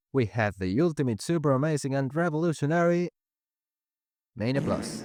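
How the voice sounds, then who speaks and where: Music plays in the background as a man with a non-native accent speaks at a fairly slow pace. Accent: non-native English accent, self-described. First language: not English. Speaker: gaming video creator. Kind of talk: scripted commentary video.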